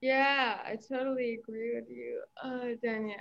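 This woman talks at a moderate pace. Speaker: university student. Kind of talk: casual chat. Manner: halting.

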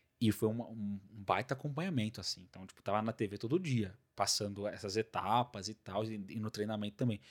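The speech moves at a fairly quick pace with ordinary pitch variation, in a very clean recording over a silent background. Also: man. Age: 20s. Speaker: podcast host. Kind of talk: casual chat. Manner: animated.

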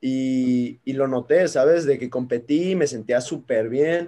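The voice has a dark, mellow tone in a Mexican accent. The background is quiet. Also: man. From Guadalajara, Mexico. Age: 20s. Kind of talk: casual chat.

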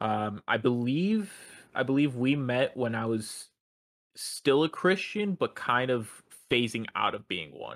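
Recorded very cleanly against a silent background with a dry, close sound and no echo, a man with an unremarkable speaking voice talks fairly slowly at a medium pitch, his intonation lively. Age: 20s. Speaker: podcast co-host. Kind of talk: casual chat; testimony.

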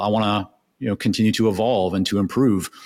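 Recorded very cleanly against a silent background, a man talks at a fairly quick pace with a fairly low pitch and fairly even intonation. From Canada. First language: Hebrew. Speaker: consulting business founder. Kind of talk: casual interview.

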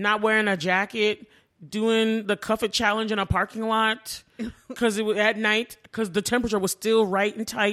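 A woman talks at a moderate pace with a fairly high pitch and a bright, sharp tone. Her intonation is monotone and flat, and her loudness is very even. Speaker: podcast co-host. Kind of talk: casual chat.

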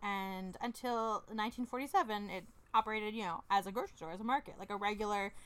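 A woman with a plain, everyday voice speaks at a moderate pace in a fairly high pitch, her intonation fairly even but her loudness swinging widely. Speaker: podcast co-host. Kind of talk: casual banter chat. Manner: playful, joking.

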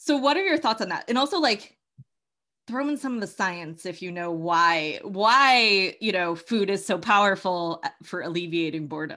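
Over a quiet background, a woman with a bright, sharp tone and medium pitch speaks at a moderate pace with lively intonation. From Massachusetts, US Northeast. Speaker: podcast host and coach. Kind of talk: casual conversational interview.

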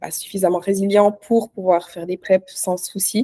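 Dark, mellow tone from a woman, dry and close with no echo. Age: 30s. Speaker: online fitness coach and bikini athlete. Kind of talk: casual interview.

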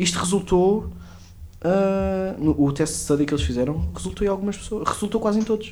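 The man's loudness holds very even. He keeps to a moderate pace. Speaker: podcast co-host. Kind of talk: casual chat.

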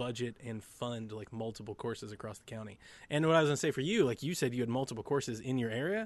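Talking very fast in an American accent, a man has a medium pitch with ordinary pitch variation. The background is quiet. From US North. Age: 30s. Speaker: podcast guest. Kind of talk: casual chat. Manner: animated.

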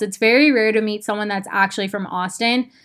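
A woman with a fairly high pitch sounds upbeat and animated, talking at a fairly quick pace. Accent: Western US. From Arizona, Phoenix. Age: 20s. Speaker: podcast host. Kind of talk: casual solo podcast talk. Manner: upbeat, animated.

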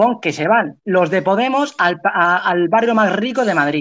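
Moderate pace with lively intonation. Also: man. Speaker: political science student, show host. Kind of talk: heated debate. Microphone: phone microphone.

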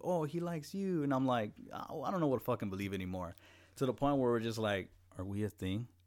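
On a very clean recording with a silent background, a man of medium pitch with a Spanish accent speaks in an animated tone with very wide pitch swings. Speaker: podcast co-host. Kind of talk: casual chat.

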